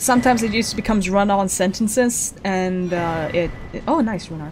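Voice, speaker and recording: Over noticeable background noise, a woman mumbles at a moderate pace. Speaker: VTuber streamer. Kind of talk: gameplay livestream commentary. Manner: mumbling.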